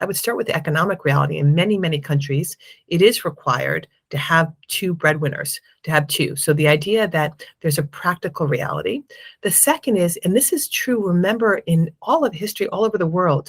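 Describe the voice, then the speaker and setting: At a fairly quick pace, a woman talks in a somewhat breathy voice with a fairly low pitch. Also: lively intonation. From United States. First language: Spanish. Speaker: impact investment fund manager. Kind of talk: interview.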